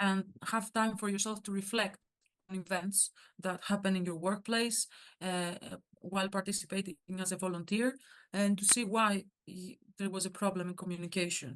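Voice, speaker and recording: With a Greek accent, a woman talks at a moderate pace in a medium pitch. Her intonation is fairly even, and she takes long, frequent pauses. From Greece. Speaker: workshop speaker, surgical student organization member. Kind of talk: workshop talk. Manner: halting, many fillers.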